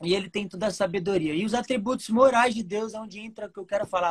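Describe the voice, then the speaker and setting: This woman speaks at a medium pitch in a somewhat breathy voice. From Brazil, Mato Grosso do Sul (Campo Grande). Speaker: lay preacher. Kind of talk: sermon. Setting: video call.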